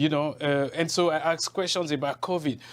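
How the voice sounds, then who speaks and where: A man speaks at a fairly slow pace with a fairly high pitch and ordinary pitch variation. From Cameroon. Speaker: journalist. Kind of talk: interview. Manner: animated.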